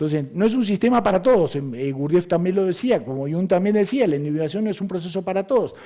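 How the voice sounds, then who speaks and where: Very fast and with hardly any pauses, a man talks in a high pitch with lively intonation. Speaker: astrologer. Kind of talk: lecture. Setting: conference hall with audience.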